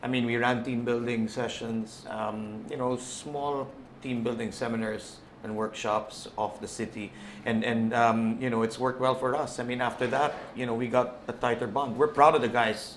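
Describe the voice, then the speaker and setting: Light background noise under a man's monotone, flat intonation. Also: moderate pace. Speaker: football club team manager; guest. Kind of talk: casual chat. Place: studio. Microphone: lapel.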